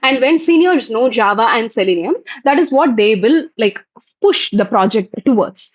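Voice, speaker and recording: A woman speaks with high pitch and very wide pitch swings. Her loudness stays very even. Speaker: software testing trainer hosting live Q&A. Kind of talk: live stream Q&A. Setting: YouTube live stream. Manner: fast. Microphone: bad network connection.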